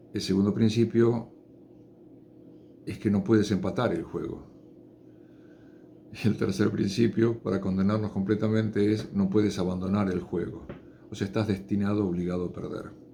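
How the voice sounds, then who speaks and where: Against audible room echo, a dark, mellow voice moves at a moderate pace with fairly even intonation and long, frequent pauses. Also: man, fairly low pitch for a man. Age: 60s. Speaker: chemist giving science talks. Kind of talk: informal lecture. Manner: unscripted, with hesitations.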